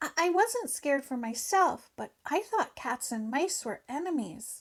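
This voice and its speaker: A woman puts on a character voice at a high pitch, swinging very widely up and down at a moderate pace. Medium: read story.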